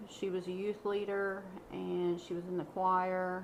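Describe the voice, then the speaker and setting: A woman speaks with a Kentucky accent. Noticeable background noise runs behind her. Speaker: true crime podcaster. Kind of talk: casual chat.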